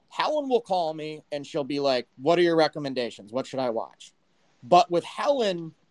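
A man's high voice in an American accent at a moderate pace, dry and close with no echo. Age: 30s. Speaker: live audio chat host. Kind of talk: casual chat. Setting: live audio app.

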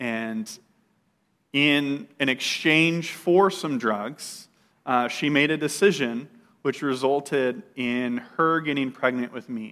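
In a very clean recording with a silent background, a man with an American accent speaks at a very slow pace, his fairly high voice bright and sharp with ordinary pitch variation. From California (Bakersfield). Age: 30s. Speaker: guest preacher. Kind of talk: sermon with personal testimony. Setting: church with congregation.

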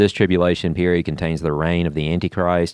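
Against a quiet background, a man with a very deep, low voice talks at a very fast pace. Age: 40s. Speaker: church podcast host. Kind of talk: reading aloud; casual chat.

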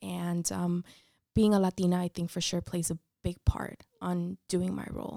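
A woman with an American accent speaks at a moderate pace in a normal speaking voice. Her medium pitch comes through a dry, close sound with no echo. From Mexico, then Orange County, California from age 13. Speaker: corporate professional, diversity advocate. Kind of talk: interview conversation.

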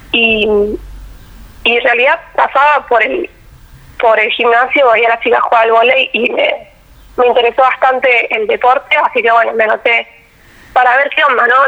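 A high-pitched woman's voice at a moderate pace, fairly even in intonation and very even in loudness, with long, frequent pauses over noticeable background noise. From Argentina, Quilmes (Buenos Aires). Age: 20s. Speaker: engineering student and athlete. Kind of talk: interview.

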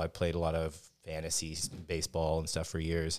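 Speaking at a fairly quick pace, a man has an American accent. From Texas, Dallas-Fort Worth area. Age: 30s. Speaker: amateur baseball team captain. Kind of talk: casual interview chat.

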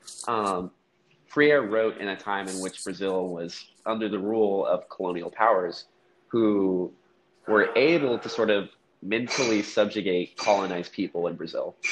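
An ordinary speaking voice goes at a moderate pace. Its pitch variation is ordinary. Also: man, fairly low pitch for a man. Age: young. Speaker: university student. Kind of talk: casual chat. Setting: at work, background noise.

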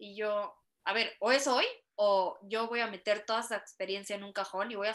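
A woman with a Mexican accent, fairly high-pitched and fairly slow. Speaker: guest sharing personal story of spinal injury. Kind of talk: casual interview chat.

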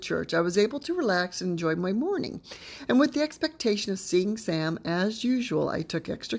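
Here someone is reading aloud in a natural voice.

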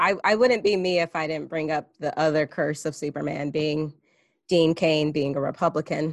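A woman speaks at a moderate pace. Her pitch is very deep and low, with ordinary pitch variation. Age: 30s. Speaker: podcast host. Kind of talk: casual chat. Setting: video call.

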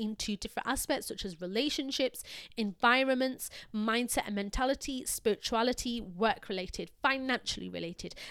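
A woman's fairly high-pitched, plain, everyday voice at a moderate pace, ordinary pitch variation, and a dry, close sound with no echo on a very clean recording with a silent background. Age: 20s. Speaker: podcaster. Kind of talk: solo motivational talk. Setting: studio mic.

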